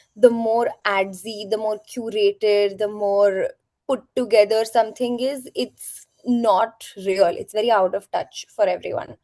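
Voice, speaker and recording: A woman with a normal speaking voice talks at a fairly slow pace and fairly high pitch, her intonation fairly even, in a dry, close sound with no echo. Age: 20s. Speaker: influencer and talent manager. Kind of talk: interview.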